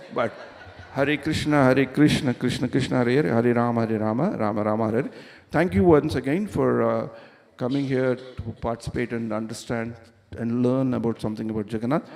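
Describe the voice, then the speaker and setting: With a normal speaking voice, a man talks at medium pitch and ordinary pitch variation. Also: fairly quick pace. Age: 60s. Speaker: visiting speaker at temple. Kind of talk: religious class.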